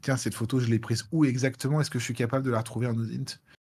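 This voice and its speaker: Somewhat breathy, a man speaks over a quiet background. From France, Lyon; France. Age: 40s. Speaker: cybersecurity expert, penetration tester. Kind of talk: live Q&A talk. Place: home room.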